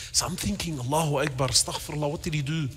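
A man speaks in a fairly high pitch over light background noise. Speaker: Islamic scholar giving a lecture. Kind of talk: religious lecture to a live audience. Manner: conversational storytelling, slightly awkward. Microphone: lapel.

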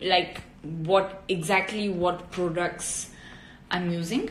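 In an Italian accent, a woman with a fairly low pitch speaks at a very slow pace, with light background noise and audible room echo. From southern Italy. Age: 20s. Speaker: actress and model; actress. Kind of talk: casual chat. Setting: Instagram live video. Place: home room. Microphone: phone near.

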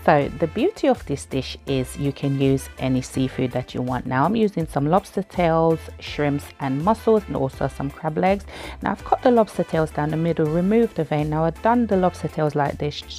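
Over faint background music, a woman with a very deep, low pitch talks at a moderate pace in a dry sound with no echo. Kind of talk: cooking tutorial. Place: kitchen.

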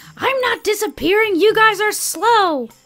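The put-on character voice is pitched extremely high. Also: moderate pace. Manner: playful, teasing.

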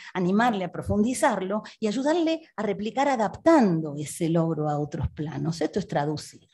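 A woman speaks in an Argentine accent with a dark, mellow tone. Her voice is somewhat breathy and shows very wide pitch swings. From Argentina. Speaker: philosophy researcher and professor; professor. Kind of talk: reading a prepared text. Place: hall. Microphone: podium.

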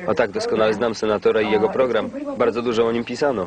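Over noticeable background noise, the speech moves at a very fast pace with fairly even intonation. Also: man. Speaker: film voice-over reader. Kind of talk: film voice-over translation read.

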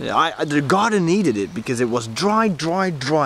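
Speaking at a moderate pace with very wide pitch swings, a man is heard in a dry recording with no echo and light background noise. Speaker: vlogger. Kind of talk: casual vlog chat. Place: garden. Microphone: phone near.

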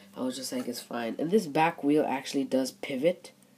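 Noticeable background noise behind fairly quick speech. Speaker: Lego builder, video creator. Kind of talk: casual show-and-tell. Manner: casual, halting.

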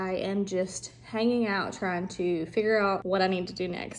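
The pace of this woman's speech is moderate. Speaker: family vlogger. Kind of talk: casual vlog chat. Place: home room. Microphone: phone near.

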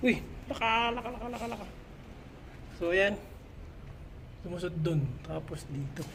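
Pausing long and often, a woman speaks at a moderate pace and medium pitch with lively intonation. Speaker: construction work inspector vlogger. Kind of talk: site walkthrough vlog. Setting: construction site indoors. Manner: animated.

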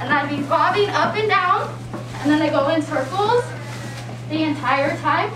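Amid noticeable background noise, a woman speaks at a fairly slow pace. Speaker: student teacher. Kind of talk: classroom presentation to young students. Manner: engaging, encouraging. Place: classroom. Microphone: camera far.

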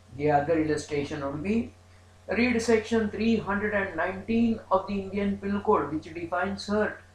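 With a high voice, a man speaks at a fairly slow pace with ordinary pitch variation, amid light background noise and audible room echo. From India. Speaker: law professor. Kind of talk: lecture. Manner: formal. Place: home room. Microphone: webcam.

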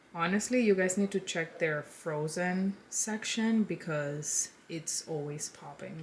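Over light background noise, a woman talks at a very slow pace with ordinary pitch variation. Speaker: lifestyle vlogger. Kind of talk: casual haul chat. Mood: upbeat, enthusiastic. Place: home room.

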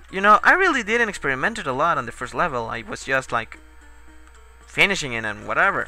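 Over music in the background, a man talks very fast in a fairly high voice, with very wide pitch swings and big swings in loudness. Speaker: video game let's player. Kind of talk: gameplay commentary. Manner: casual, profane, tipsy.

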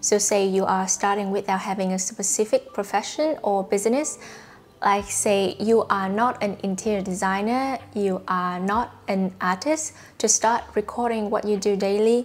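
A woman with a Vietnamese accent at a moderate pace, with fairly even intonation. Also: medium pitch for a woman. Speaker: YouTuber. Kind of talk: tutorial monologue to camera. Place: home room. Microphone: lapel.

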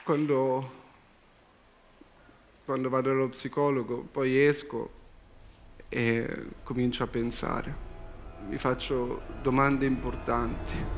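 Deadpan, calm delivery at a very slow pace, monotone and flat, with long, frequent pauses and music in the background. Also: man. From Milan, Italy. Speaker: stand-up comedian. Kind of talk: comedy monologue on talent show stage. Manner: slow, sighing, deadpan; extremely calm, unhurried. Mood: anxious, sighing, deadpan. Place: stage. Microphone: headset.

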